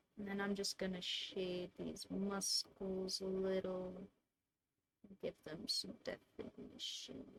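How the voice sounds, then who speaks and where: The voice is quiet and somewhat breathy. It moves at a very slow pace with fairly even intonation. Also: woman, medium pitch for a woman. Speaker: artist streamer. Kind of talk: casual drawing stream commentary.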